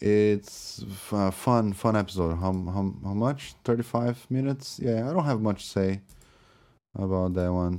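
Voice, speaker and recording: A man with a Brazilian accent speaks at a fairly low pitch, his dark, mellow tone carrying ordinary pitch variation on a very clean recording with a silent background. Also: fairly slow pace. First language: Portuguese. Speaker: podcast host. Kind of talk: solo off-the-cuff monologue about albums. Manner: halting, rambling, with many filler words and restarts.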